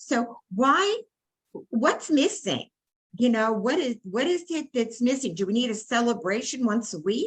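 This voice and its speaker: A woman with an American accent, high-pitched and fairly slow, with lively intonation. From New York, Brooklyn. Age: 80s+. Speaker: workshop participant, community organizer. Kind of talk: group discussion. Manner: halting.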